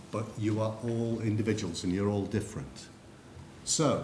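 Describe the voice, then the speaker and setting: The speaker has an English accent and talks at a moderate pace, with audible room echo. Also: man. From England. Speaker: psychometrics consultant. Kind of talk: conference presentation.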